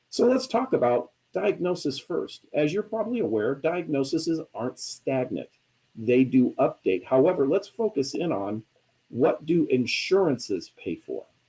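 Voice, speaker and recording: With vocal fry and a dark, mellow tone, a man speaks at a moderate pace, his fairly high pitch moving in very wide swings. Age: 60s. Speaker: chiropractor and billing and coding expert. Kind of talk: webinar presentation. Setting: live online broadcast.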